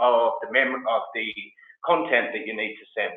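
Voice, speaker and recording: A man speaks with audible room echo around him. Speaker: tech company co-founder and CEO. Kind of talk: webinar tutorial. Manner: many filler words (um, uh).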